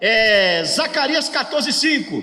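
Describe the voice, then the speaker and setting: Noticeable background noise surrounds this man. He uses a raised, projected voice at an extremely high pitch. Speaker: pastor teaching a workshop. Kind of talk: lecture.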